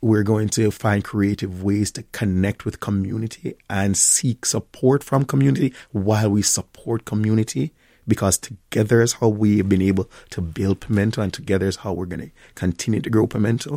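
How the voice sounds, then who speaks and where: A dark, mellow tone at a fairly quick pace with ordinary pitch variation, dry and close with no echo, on a very clean recording with a silent background. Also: man, fairly low pitch for a man. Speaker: restaurant owner and chef. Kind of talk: radio interview. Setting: studio.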